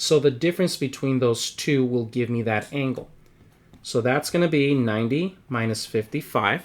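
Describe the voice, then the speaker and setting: This man has an unremarkable speaking voice, medium in pitch, with ordinary pitch variation and a moderate pace. The recording is very clean, with a silent background. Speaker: math teacher. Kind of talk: lecture.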